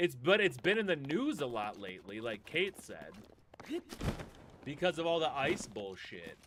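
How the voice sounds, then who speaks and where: A man talks at a moderate pace and a fairly high pitch, with vocal fry and very wide pitch swings. His loudness swings widely, and he leaves long, frequent pauses. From US Upper Midwest, Minnesota. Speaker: gaming streamer. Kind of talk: live game stream chat.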